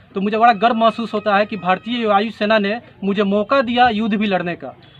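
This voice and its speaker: Noticeable background noise is present. A man talks with a high pitch and fairly even intonation. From Bihar, West Champaran. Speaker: politician, air force veteran. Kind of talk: interview.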